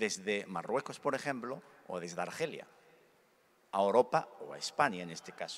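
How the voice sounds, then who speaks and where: Speaking at a moderate pace with lively intonation, a man with a fairly low voice swings widely in loudness and leaves long, frequent pauses. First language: Berber / Arabic (speaking Spanish). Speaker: conference speaker, convert from Islam. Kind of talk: conference talk / testimony. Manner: halting, with self-corrections and fillers.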